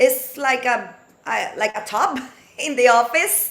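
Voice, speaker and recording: Her pitch high, a woman speaks with a non-native accent. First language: not English. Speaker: aquatic fitness instructor, panelist. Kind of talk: webinar panel discussion. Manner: halting.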